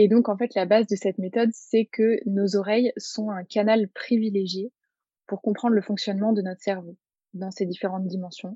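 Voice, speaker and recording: In a dry, close sound with no echo, a woman with a medium pitch and a somewhat breathy voice talks at a moderate pace with monotone, flat intonation. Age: 20s. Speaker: therapist. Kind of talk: interview.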